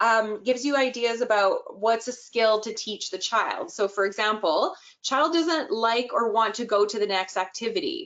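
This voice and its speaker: Her voice is an ordinary speaking voice: a woman at a fairly high pitch, moderate pace and lively intonation, with hardly any pauses. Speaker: early childhood inclusion expert. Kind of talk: webinar presentation.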